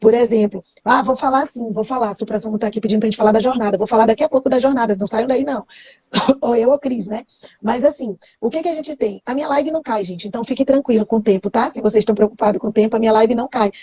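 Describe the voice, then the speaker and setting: A woman speaks very fast in a fairly high pitch with ordinary pitch variation, the sound dry and close with no echo. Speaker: criminal law teacher. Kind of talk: live stream lesson. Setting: Instagram live.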